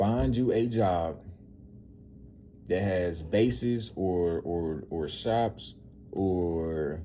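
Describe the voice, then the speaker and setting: Through audible room echo, a man with a very deep, low pitch and a dark, mellow tone speaks at a very slow pace with long, frequent pauses. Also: ordinary pitch variation. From US South, Memphis, Tennessee. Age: 20s. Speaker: motivational vlogger. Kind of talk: motivational monologue. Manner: casual, with many fillers and repetitions.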